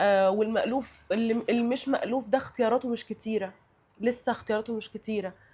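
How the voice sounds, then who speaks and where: In a Cairo accent, a woman speaks at a fairly quick pace with a fairly high pitch, a dark, mellow tone and monotone, flat intonation. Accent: Egyptian Arabic (Cairo). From Egypt. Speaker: guest sharing life experience. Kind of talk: casual chat. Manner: halting, many repetitions and fillers.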